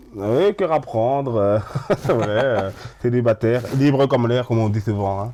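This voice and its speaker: Medium pitch from a man, fairly slow in pace and ordinary in pitch variation. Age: 30s. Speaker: kitchen assistant with visual and hearing impairment. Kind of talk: interview. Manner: halting.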